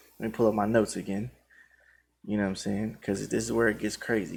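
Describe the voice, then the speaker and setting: A man's unremarkable speaking voice, an unremarkable speaking voice at a fairly low pitch with ordinary pitch variation, at a moderate pace, in a very clean recording with a silent background. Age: 30s. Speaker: krump dancer and videographer. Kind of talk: monologue addressing viewers. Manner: casual, repetitive filler phrases.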